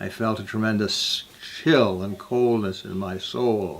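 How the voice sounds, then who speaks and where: The voice belongs to a man with a fairly low pitch and an American accent. He speaks at a moderate pace. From US Midwest, northern Illinois. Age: 80s+. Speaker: peace activist, refuge founder. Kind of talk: personal life story talk. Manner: halting.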